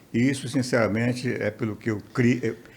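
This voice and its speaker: Somewhat breathy, a man speaks at a moderate pace. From interior of Amazonas, Brazil. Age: 70s. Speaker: TV and radio journalist. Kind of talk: interview conversation.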